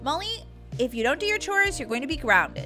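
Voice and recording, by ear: A woman performs a cartoonish character voice, high-pitched for a woman with a bright, sharp tone and big pitch swings. She goes at a fairly quick pace over faint music in the background.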